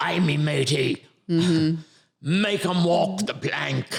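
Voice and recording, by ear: Raspy and very slow, a man delivers his lines in a put-on character voice. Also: fairly high pitch for a man.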